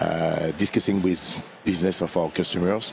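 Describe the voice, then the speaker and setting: Over noticeable background noise, a man with a strong French accent talks at a moderate pace in a very deep, low pitch with monotone, flat intonation. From France. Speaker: AI consulting practice lead. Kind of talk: interview at trade conference. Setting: conference showroom floor live stream. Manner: halting, many fillers.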